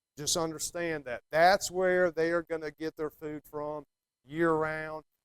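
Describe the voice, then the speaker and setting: With an American accent, a man speaks at a fairly high pitch in a monotone, flat delivery, captured dry and close with no echo. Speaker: fly fishing guide. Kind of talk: talk to a club meeting. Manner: casual, hesitant with ums.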